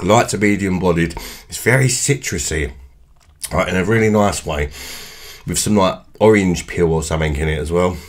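Low male voice, moderate pace, ordinary pitch variation

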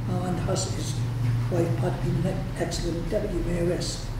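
This is a man speaking. Noticeable background noise and audible room echo are present. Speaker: councillor. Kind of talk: formal nomination speech. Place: hall.

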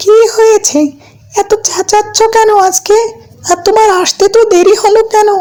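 A female-sounding voice puts on a cartoonish character. The pitch is extremely high. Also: moderate pace.

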